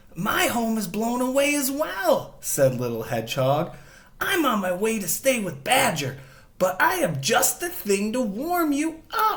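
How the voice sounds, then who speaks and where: The pace is fairly slow. Adopting a put-on character voice, a man pitches it extremely high. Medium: read story.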